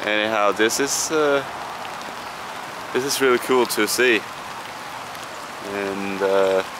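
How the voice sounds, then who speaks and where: A man's fairly low voice in a Scandinavian accent, very slow with long, frequent pauses and ordinary pitch variation, against noticeable background noise. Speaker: travel vlogger. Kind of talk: casual travel vlog. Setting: outdoors in a park. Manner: halting, many fillers.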